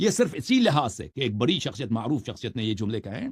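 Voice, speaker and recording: A man speaks at a moderate pace in a medium pitch, with ordinary pitch variation. His voice is somewhat breathy. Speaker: Shia religious scholar. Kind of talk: religious commentary monologue. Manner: harsh, sharp tone.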